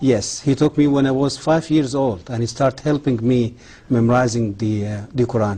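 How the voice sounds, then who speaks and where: A dark, mellow tone comes with a somewhat breathy edge. The delivery keeps a moderate pace. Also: man, medium pitch for a man, ordinary pitch variation. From southern Egypt, later Cairo. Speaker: former Islamic history professor, author. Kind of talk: interview. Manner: hesitant with fillers.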